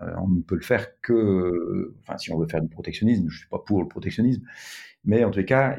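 A man uses a normal speaking voice, fairly low in pitch, at a fairly quick pace with ordinary pitch variation. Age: 60s. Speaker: tech entrepreneur. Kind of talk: interview conversation.

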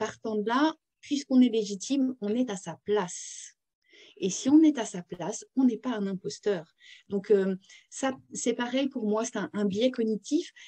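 A woman's fairly high, somewhat breathy voice with a dark, mellow tone, fairly slow pace and ordinary pitch variation, dry and close with no echo. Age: 40s. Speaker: career consultant and author. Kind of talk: interview. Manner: hesitant, repeats words.

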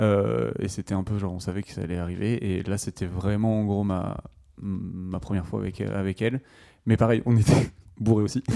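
A man speaks at a moderate pace with a fairly low pitch, a dark, mellow tone and ordinary pitch variation, on a very clean recording with a silent background. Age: 20s. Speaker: amateur filmmaker. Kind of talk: casual chat.

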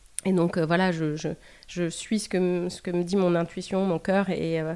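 A woman at medium pitch and a moderate pace in a very clean recording with a silent background. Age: 40s. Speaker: former lawyer. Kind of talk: interview. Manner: halting.

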